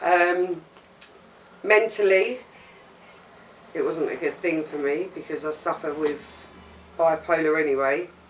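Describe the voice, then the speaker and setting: A woman speaks at a fairly low pitch with ordinary pitch variation and a fairly slow pace. There are long, frequent pauses and noticeable background noise. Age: 40s. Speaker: interviewee. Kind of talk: interview.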